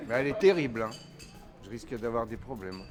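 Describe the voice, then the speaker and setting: A man's pitch swings very widely, and background noise is clearly audible. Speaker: canteen regular and amateur rapper. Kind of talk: casual chat.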